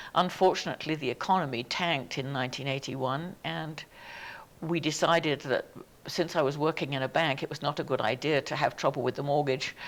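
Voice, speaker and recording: With an English accent, a woman speaks in a very deep, low voice with fairly even intonation. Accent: English accent, still noticeable. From southern England. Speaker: museum society president. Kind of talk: oral history interview.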